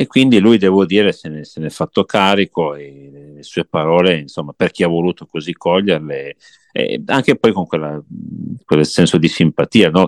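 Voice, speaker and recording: Very deep and low, this man's voice moves at a moderate pace with ordinary pitch variation and big swings in loudness, in a dry, close sound with no echo. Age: 40s. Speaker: guest attending a music festival. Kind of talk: casual chat. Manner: halting, with frequent repetitions.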